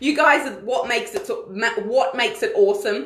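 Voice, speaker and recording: Her high voice swings very widely in pitch as the woman speaks, with audible echo from the room. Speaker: online community leader and coach. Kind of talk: live Q&A stream. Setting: live video stream.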